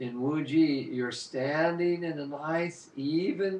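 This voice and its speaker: A man's fairly high voice shows ordinary pitch variation, with noticeable background noise behind him. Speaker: qigong teacher. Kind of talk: guided movement class. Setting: live online broadcast.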